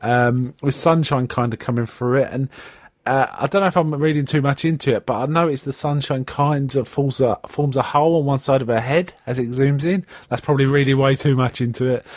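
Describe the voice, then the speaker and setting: A man with a strong South London accent talks at a fairly quick clip in a fairly high voice, his intonation fairly even. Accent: strong South London, Cockney-like. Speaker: podcast host. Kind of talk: casual chat. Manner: hesitant, many fillers.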